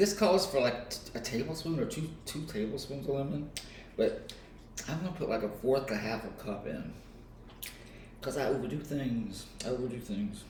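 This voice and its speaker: A man with an American accent speaks at a fairly slow pace and medium pitch, with very wide pitch swings. Audible room echo surrounds him. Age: 60s. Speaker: author. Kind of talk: casual vlog, cooking while talking about life. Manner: casual, hesitant with fillers.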